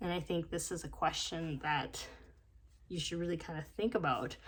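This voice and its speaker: A quiet woman's voice, fairly low in pitch, with vocal fry. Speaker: tarot card reader. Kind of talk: tarot reading. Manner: hesitant, many fillers.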